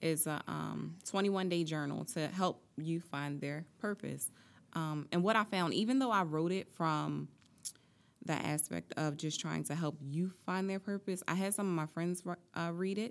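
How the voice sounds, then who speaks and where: With a plain, everyday voice, this woman sits fairly low in pitch. Her pace is moderate and her pitch varies in an ordinary way. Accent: American. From US Northeast, Atlantic City, New Jersey. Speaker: motivational speaker and author. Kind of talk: interview.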